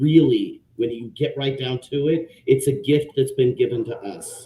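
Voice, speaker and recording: This man's somewhat breathy voice has a dark, mellow tone and medium pitch, moving at a moderate pace with ordinary pitch variation. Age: 50s. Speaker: social worker and panelist. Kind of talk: panel discussion live stream. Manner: hesitant, many fillers.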